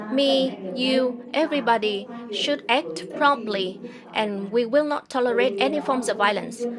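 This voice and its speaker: A woman talks at a high pitch and a fairly slow pace with ordinary pitch variation. There is noticeable background noise and audible room echo. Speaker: government official. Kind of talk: formal opening speech. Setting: conference. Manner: formal.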